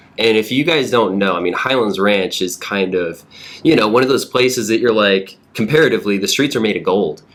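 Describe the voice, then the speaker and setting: A man with a plain, everyday voice speaks at a fairly quick pace, his fairly low pitch rising and falling in an ordinary way. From US South, Georgia. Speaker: real estate podcast host. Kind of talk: casual podcast conversation.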